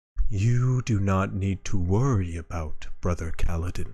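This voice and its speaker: A man performs a put-on character voice with a very deep, low pitch. He speaks at a moderate pace. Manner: gentle, reassuring.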